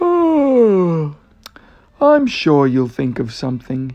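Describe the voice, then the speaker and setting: A man's put-on character voice, high-pitched and very slow. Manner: drawling.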